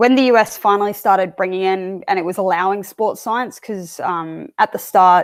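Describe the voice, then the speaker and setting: A woman speaks with an Australian accent at a medium pitch, with ordinary pitch variation. The recording is very clean, with a silent background. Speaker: strength and conditioning coach. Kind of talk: interview.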